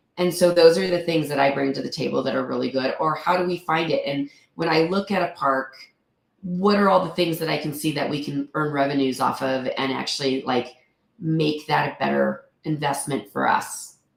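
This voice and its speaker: Her voice is very deep and low, with vocal fry. The woman keeps a moderate pace and ordinary pitch variation. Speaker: real estate investor. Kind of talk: interview.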